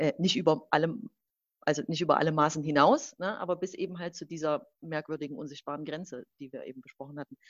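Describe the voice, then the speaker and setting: A woman's very deep, low voice at a very fast pace, with ordinary pitch variation and big swings in loudness. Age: 30s. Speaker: fashion brand consultant. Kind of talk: casual conversation. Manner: halting, many fillers.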